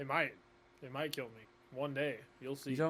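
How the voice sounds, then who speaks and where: Using a put-on character voice at medium pitch, a man talks at a moderate pace. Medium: actual play. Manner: gruff, sardonic.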